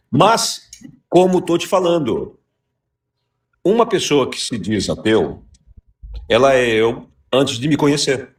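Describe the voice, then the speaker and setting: The speaker sounds somewhat breathy, with lively intonation and a fairly slow pace. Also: man. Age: 60s. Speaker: radio host. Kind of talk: heated debate.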